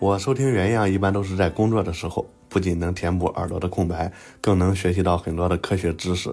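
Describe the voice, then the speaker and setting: A man with a very deep, low pitch speaks at a fairly quick pace with fairly even intonation. His voice is somewhat breathy on a very clean recording with a silent background. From Xuzhou, Jiangsu. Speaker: renovation worker, listener. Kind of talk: recorded listener message.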